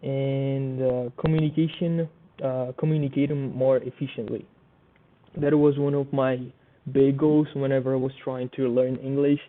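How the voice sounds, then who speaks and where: In a Portuguese accent, the speaker talks at a moderate pace with monotone, flat intonation. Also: man, fairly high pitch for a man. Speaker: student. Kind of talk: class presentation. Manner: halting.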